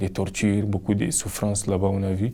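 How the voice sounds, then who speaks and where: A man with a Cameroonian accent speaks in a fairly low pitch. His tone is dark and mellow. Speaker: migrant. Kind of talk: personal testimony.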